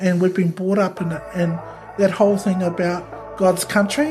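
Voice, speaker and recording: Music plays behind a woman with a New Zealand accent who speaks at a moderate pace, medium pitch and ordinary pitch variation. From New Zealand, Ōtara, South Auckland. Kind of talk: podcast interview answer.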